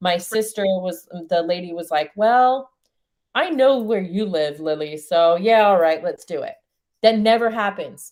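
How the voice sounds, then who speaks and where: With an American accent, a woman talks in an ordinary speaking voice with ordinary pitch variation. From New Zealand. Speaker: spiritual coach. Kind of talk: coaching session.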